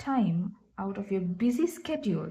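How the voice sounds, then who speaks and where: Somewhat breathy and dark, mellow in tone, the voice moves at a very slow pace with lively intonation and a non-native accent. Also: woman. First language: not English. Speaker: tarot reader and astrologer. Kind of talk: tarot reading. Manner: halting.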